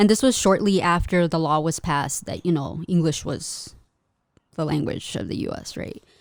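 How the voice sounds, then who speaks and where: A woman's fairly low-pitched, ordinary speaking voice at a moderate pace. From US, Mexican immigrant household. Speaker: custom merch artist and small business owner. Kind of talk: casual interview chat.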